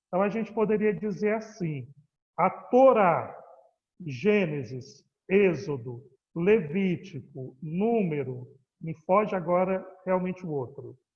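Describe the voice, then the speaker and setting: Speaking very slowly with long, frequent pauses, a man uses a high pitch and lively intonation. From Ceará, Brazil. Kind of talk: lecture.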